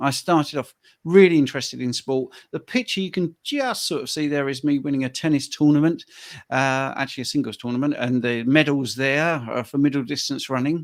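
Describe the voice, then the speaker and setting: A man with a British accent talks at a fairly quick pace in a fairly high pitch with ordinary pitch variation, in a very clean recording with a silent background. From UK. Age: 60s. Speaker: health coach. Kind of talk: interview conversation.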